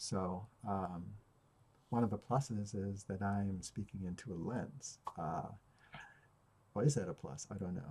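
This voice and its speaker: A man's somewhat breathy, dark, mellow voice, fairly low in pitch, with ordinary pitch variation, a fairly slow pace and long, frequent pauses. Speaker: stutterer. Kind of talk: video journal talk to camera. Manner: hesitant, with many fillers.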